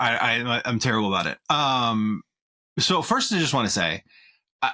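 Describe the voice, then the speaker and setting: A man of medium pitch speaks with lively intonation in a bright, sharp tone, keeping his loudness very even. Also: dry, close sound with no echo. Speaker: podcast co-host. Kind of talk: casual chat. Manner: fast.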